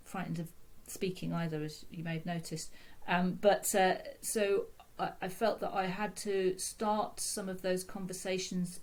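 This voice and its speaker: A woman in a British accent, medium-pitched and somewhat breathy, with monotone, flat intonation. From UK, London. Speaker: consultant physiotherapist. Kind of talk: podcast interview. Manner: halting, many fillers and repeats.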